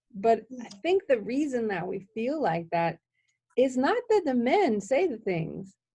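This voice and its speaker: A woman's fairly high, dark and mellow voice with very wide pitch swings and an American accent. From Wisconsin, Milwaukee. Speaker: podcast host. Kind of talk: casual interview chat. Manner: animated.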